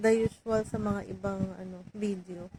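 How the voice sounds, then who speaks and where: Soft-spoken and somewhat breathy, a woman talks at a fairly high pitch with monotone, flat intonation. Her pace is moderate, and the recording is dry and close with no echo. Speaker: vlogger, overseas worker. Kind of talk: casual vlog monologue. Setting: home, alone in room.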